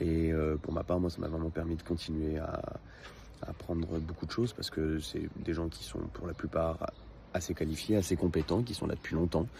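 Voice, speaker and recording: A man speaks in a very deep, low voice with a dark, mellow tone. He sounds somewhat breathy, and his intonation stays fairly even. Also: moderate pace. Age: 20s. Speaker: customer giving a testimonial. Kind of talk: testimony. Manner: hesitant, many filler sounds.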